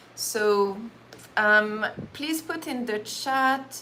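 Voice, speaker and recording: A woman with a French accent talks in a fairly high pitch, her tone bright and sharp. Her pitch varies in an ordinary way, and the room echo is audible. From France. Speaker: Reiki practitioner and meditation teacher. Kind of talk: casual live-stream talk before a guided meditation. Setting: live stream.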